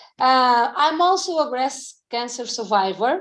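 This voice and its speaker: A woman's very slow speech with lively intonation against a quiet background. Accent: Portuguese. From Portugal. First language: Portuguese. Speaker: fitness coach. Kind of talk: presentation.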